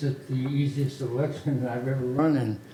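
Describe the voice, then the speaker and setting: The man's voice, fairly high in pitch, comes through noticeable background noise. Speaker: community board director, candidate. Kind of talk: candidate statement at meeting. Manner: halting.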